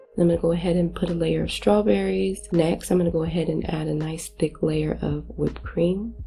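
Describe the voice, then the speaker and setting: With music in the background, a woman talks fairly quickly. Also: hardly any pauses. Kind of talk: cooking tutorial casual talk to camera.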